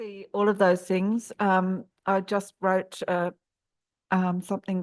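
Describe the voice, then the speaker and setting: Slow-ish, flat, monotone female voice with an Australian accent against a quiet background. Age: 60s. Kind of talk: panel discussion. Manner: hesitant, many fillers.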